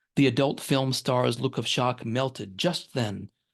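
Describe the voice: Plain reading aloud in a fairly even intonation.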